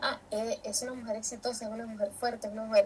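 Against noticeable background noise, a woman speaks with a fairly high pitch. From Venezuela, San Felipe, Yaracuy. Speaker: retail worker. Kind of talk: panel talk.

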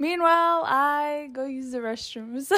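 A woman at a very slow pace, with ordinary pitch variation and noticeable background noise. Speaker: podcast host. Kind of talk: casual chat.

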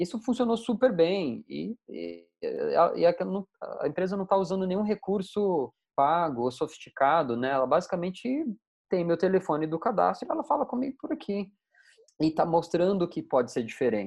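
A high-pitched male voice with very wide pitch swings. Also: moderate pace. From Brazil, interior of Mato Grosso. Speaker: tech company founder and CEO. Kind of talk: casual interview.

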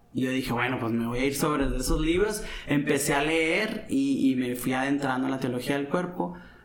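Recorded with noticeable background noise and audible room echo, a man talks at a fairly high pitch with ordinary pitch variation. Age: 30s. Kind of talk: casual chat. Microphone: some echo.

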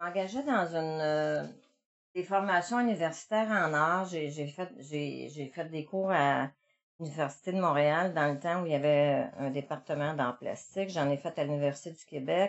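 Very deep and low, this woman's voice shows ordinary pitch variation. Her pace is fairly slow. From Quebec, Montreal. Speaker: visual artist. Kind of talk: interview. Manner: halting.

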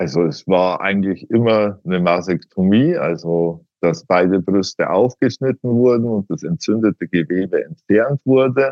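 A man's unremarkable speaking voice, fairly low in pitch, at a moderate pace with lively intonation and hardly any pauses. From Upper Bavaria, Miesbach district. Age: 40s. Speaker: patient, IT security consultant. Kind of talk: interview.

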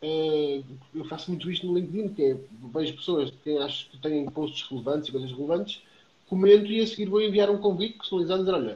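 A man talks at a very fast pace with a high pitch. His tone is dark and mellow, and his pitch varies in an ordinary way. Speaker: trainer and public speaker. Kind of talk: casual interview. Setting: Instagram live video stream.

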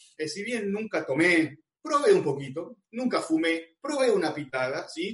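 In an Argentine accent, a man speaks at a fairly slow pace. His intonation is lively. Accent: Rioplatense Argentine Spanish. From Argentina, Buenos Aires. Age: 40s. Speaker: youth preacher. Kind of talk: sermon.

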